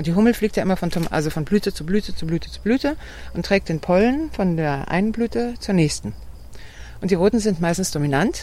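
This woman has a fairly low pitch and a dark, mellow tone. She speaks at a fairly quick pace with lively intonation. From southern Germany and Switzerland. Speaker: tomato grower. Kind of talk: casual interview. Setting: outdoors on a farm.

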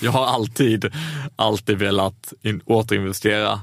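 Over a silent background in a very clean recording, a man speaks at a fairly low pitch with fairly even intonation. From Skåne, southern Sweden. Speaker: entrepreneur. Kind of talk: interview. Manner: halting, many fillers.

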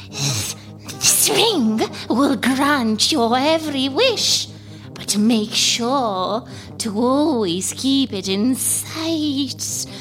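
With clear music in the background, a female-sounding voice does a put-on character voice at a very slow pace. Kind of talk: radio play folktale acting.

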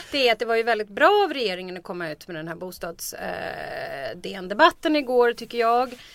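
Hardly pausing, a woman talks at a fairly quick pace with a fairly high pitch, very wide pitch swings and big swings in loudness. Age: 40s. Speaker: political commentator. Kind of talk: casual chat.

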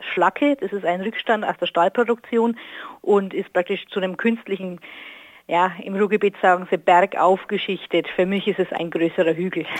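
A woman at a medium pitch and moderate pace, with fairly even intonation and a dry, close sound with no echo. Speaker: listener. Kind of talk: interview.

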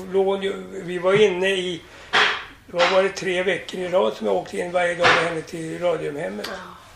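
A man speaks at a moderate pace with audible room echo and noticeable background noise. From Sweden. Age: 80s+. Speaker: entertainer. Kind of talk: casual chat. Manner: halting.

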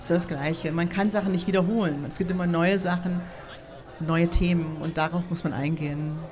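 A woman's fairly low voice at a moderate pace, with fairly even intonation, audible room echo and noticeable background noise. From United States. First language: English (speaking German). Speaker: artist and techno scene co-founder. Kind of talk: casual interview. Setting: outdoor beer garden at a festival with audience.

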